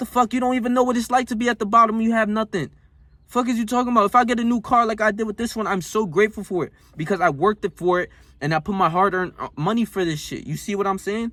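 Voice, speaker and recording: An animated speaker talks at a very fast pace with an American accent, a bright, sharp tone and ordinary pitch variation. The recording is very clean, with a silent background. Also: man, high pitch for a man. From North Jersey, US. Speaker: self-help vlogger. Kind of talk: motivational rant. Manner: animated, emphatic.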